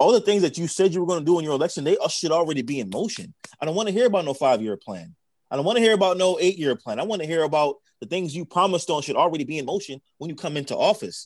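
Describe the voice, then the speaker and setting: A man talks at a very fast pace with lively intonation. His voice sits fairly high. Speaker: podcast co-host. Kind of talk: casual chat.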